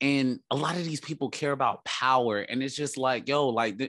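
A man speaks at a moderate pace in a plain, everyday voice, his pitch medium, with a quiet background. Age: 30s. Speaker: sports podcast host. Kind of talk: casual chat.

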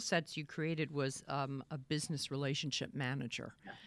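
A woman is speaking. She has a Boston accent. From Boston area. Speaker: interviewer host. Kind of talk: live interview. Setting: video call livestream.

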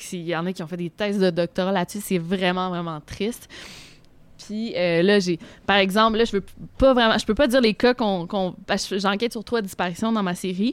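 Here is a plain, everyday voice: a woman with a medium pitch and ordinary pitch variation, talking at a moderate pace. The recording is very clean, with a silent background. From Quebec City. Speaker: youtuber on unsolved crimes. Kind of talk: casual chat. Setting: restaurant.

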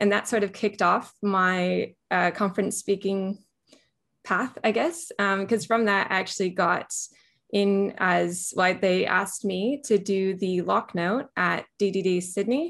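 A woman with an American accent talks at a fairly slow pace in an unremarkable speaking voice, with medium pitch, ordinary pitch variation and very even loudness against a quiet background. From California, US. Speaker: software engineer. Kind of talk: interview.

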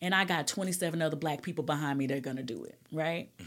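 On a very clean recording with a silent background, a woman speaks with an Alabama accent and ordinary pitch variation. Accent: Southern US (Alabama). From US South, Alabama. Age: 40s. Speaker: state legislator. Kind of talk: casual interview.

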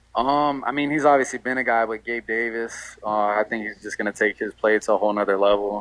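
With a normal speaking voice, a man talks at medium pitch and a fairly quick pace, with fairly even intonation and hardly any pauses. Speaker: college football quarterback. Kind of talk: interview.

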